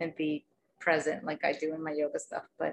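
A woman's fairly low-pitched voice with vocal fry. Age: 40s. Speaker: podcast host, yoga teacher. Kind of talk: casual interview chat.

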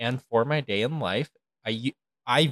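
A man with an American accent has a bright, sharp tone and ordinary pitch variation. The recording is very clean with a silent background and a dry, close sound with no echo. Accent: regional US accent, recently noted. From non-coastal United States. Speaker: podcast co-host. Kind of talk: casual chat.

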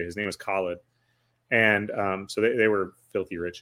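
The speaker has an Upper Midwest accent. The intonation is fairly even. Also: man. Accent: Upper Midwest American. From Wisconsin, Eau Claire area. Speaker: podcaster and entrepreneur. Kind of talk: casual chat.

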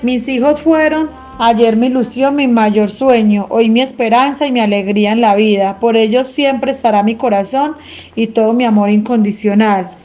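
Over noticeable background noise, a woman speaks at a moderate pace with a fairly high pitch, ordinary pitch variation and very even loudness. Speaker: school radio presenter. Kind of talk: school radio show.

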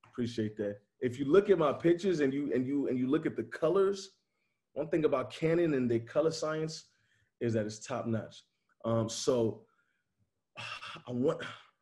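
Fairly high, somewhat breathy male voice with a dark, mellow tone and an American accent, lively intonation, a moderate pace, long, frequent pauses and a quiet background. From Chicago. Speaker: photographer. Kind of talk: casual chat.

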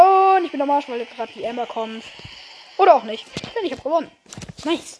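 A high-pitched woman's voice at a fairly quick pace, with lively intonation, big swings in loudness, long, frequent pauses and noticeable background noise. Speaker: gaming YouTuber. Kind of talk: live gameplay commentary. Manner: animated.

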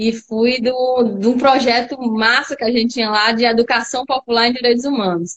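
A woman with a high pitch speaks at a moderate pace. She barely pauses, and her intonation is fairly even. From Natal, Rio Grande do Norte, Brazil. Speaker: politician. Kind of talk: casual chat.

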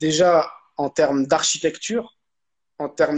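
A man at a very slow pace, high in pitch, with ordinary pitch variation. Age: 30s. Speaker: documentary filmmaker. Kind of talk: interview conversation.

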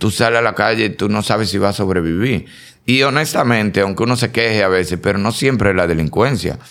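At a very fast pace, a man with a fairly low pitch speaks at very even loudness and with ordinary pitch variation. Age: 50s. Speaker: actor and comedian. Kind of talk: casual chat. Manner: animated.

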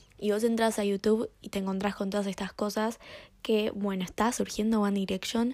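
Over a very clean, silent background, a woman of medium pitch speaks in a dark, mellow tone with monotone, flat intonation. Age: young. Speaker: podcast host. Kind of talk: solo podcast monologue. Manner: casual, with filler repetitions.

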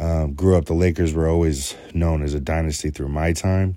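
Very deep and low in pitch, the man's voice carries a dark, mellow tone. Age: 30s. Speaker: podcast host reviewing TV shows. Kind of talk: solo review monologue. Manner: hesitant, many filler words.

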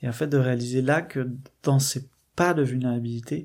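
A man speaks in a dark, mellow tone with a flat, monotone delivery. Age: 20s. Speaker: catechumen sharing faith testimony. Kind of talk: testimony. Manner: halting, many hesitations.

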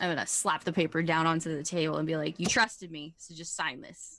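Talking at a fairly quick pace, a woman has a fairly low pitch and an unremarkable speaking voice. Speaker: tabletop RPG player. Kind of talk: tabletop RPG session, casual and animated.

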